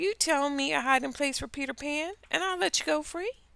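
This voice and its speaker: A woman puts on a character voice with a high pitch. She talks at a fairly quick pace. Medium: read story.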